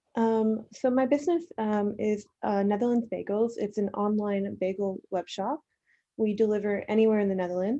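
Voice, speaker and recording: A woman with an American accent speaks in a dark, mellow tone. The background is quiet. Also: fairly high pitch for a woman, ordinary pitch variation, moderate pace. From Queens, New York. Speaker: bagel shop owner. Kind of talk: interview answer.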